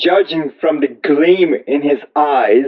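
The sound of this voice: A man talks at a slow pace with a fairly high pitch. His voice has a slightly husky edge.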